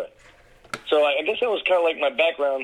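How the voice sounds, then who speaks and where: A man with an American accent talks at a very fast pace. Background noise is noticeable. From US Mid-Atlantic, Washington DC area (Takoma Park, Maryland). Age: 40s. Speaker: social worker. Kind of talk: casual chat. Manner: hushed, keeping voice down.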